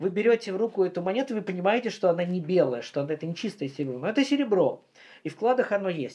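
Talking at a very fast pace, a man uses a high-pitched, dark, mellow voice with lively intonation. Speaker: historian; guest. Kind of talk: interview. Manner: frequent filler hesitations. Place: workshop.

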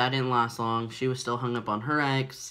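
At a moderate pace, the speaker talks in a bright, sharp tone. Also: man. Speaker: vlogger. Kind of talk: personal vlog storytelling. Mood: reflective, candid. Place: home room. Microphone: phone near.

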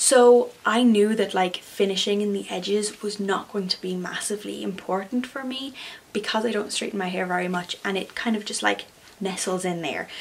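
The speaker talks with an Irish accent. The intonation stays fairly even. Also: woman, medium pitch for a woman, moderate pace. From Ireland. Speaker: craft YouTuber. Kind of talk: tutorial. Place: home room.

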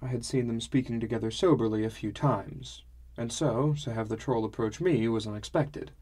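The clip has an unforced reading voice with ordinary pitch variation.

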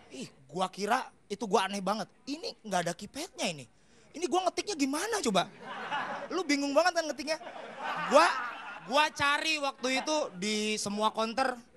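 The speaker has an animated tone and a fairly quick pace broken by long, frequent pauses, with noticeable background noise behind. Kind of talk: stand-up comedy. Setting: stage with audience. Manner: animated, fast-paced, punchline-driven; acts out dialogues and plays characters.

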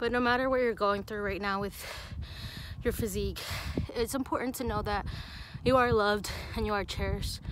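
A woman speaking at a fairly quick pace, fairly even intonation, a dry sound with no echo and noticeable background noise. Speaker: fitness vlogger. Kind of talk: casual vlog chat. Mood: earnest, encouraging. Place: open country. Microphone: phone near.

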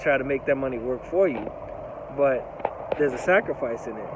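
With ordinary pitch variation, a man talks as noticeable background noise carries on. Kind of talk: casual vlog chat. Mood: reflective, concerned. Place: street. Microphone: phone near.

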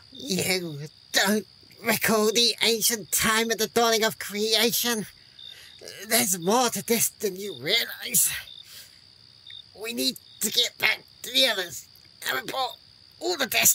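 The put-on character voice has a fairly high pitch and moves at a fairly slow pace with long, frequent pauses. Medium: audio drama.

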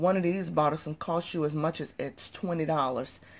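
A woman speaks with a very deep, low pitch and fairly even intonation. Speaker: couponing YouTuber. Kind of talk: casual haul video. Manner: casual, chatty. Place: home room. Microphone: phone near.

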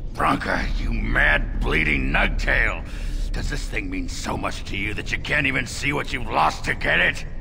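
A man's put-on character voice at a moderate pace, over loud background noise. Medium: dub. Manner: gruff.

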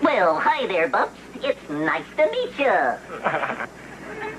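A put-on character voice, fairly high in pitch, at a very slow pace over clear background noise

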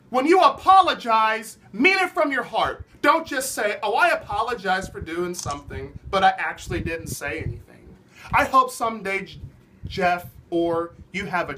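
With light background noise, a man uses a raised, projected voice at a moderate pace, his loudness swinging widely. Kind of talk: ranting opinion vlog. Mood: angry, indignant. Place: home room. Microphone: phone near.

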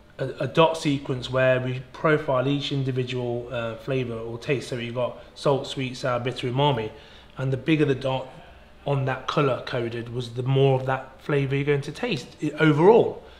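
A man talks at a moderate speed, his intonation staying fairly even. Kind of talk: interview answer. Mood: relaxed, reflective.

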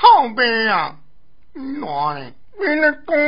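A cartoonish character voice against light background noise. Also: man, extremely high pitch for a man. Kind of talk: comic puppet-theatre voice. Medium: audio drama. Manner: loud, blustering, coarse, easily scared.

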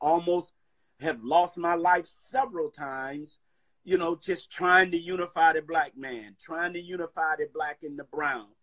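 Behind the voice, all is quiet. The man delivers his words at a fairly slow pace. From US South, Atlanta, Georgia. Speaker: minister and community activist; minister. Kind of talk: interview. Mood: earnest, passionate. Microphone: phone near.

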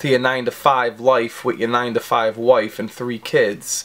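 Monotone, flat intonation marks this man's speech. He talks at a fairly slow pace. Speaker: fragrance reviewer. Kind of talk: casual comedic review vlog. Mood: crude joking. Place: home room. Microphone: phone near.

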